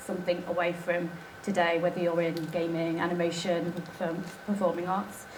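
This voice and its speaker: A woman with an East Midlands accent, fairly low in pitch, at a fairly quick pace, amid noticeable background noise and audible room echo. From England, Nottingham. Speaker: documentary filmmaker. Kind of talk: conference talk. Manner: hesitant, many fillers.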